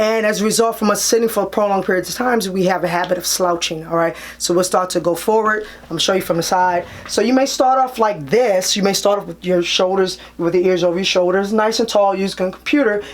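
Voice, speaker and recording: The speech races along at a very fast pace with hardly any pauses. Background noise is noticeable. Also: woman, medium pitch for a woman, ordinary pitch variation. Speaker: chiropractor. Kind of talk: tutorial. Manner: casual, conversational.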